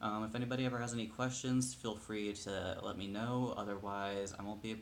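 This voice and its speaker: A man talks with fairly even intonation. Room echo can be heard around him. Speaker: video blogger. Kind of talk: casual personal update vlog. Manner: hesitant, many fillers.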